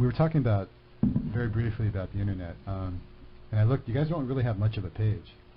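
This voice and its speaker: Over noticeable background noise, a man with a fairly low pitch and ordinary pitch variation talks at a very fast pace. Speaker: college radio host. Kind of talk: radio interview. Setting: studio.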